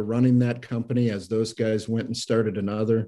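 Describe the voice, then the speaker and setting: The man's voice is dark and mellow, with a fairly low pitch and fairly even intonation. He speaks at a moderate pace over a quiet background. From Iowa, US Midwest. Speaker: business owner. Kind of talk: interview.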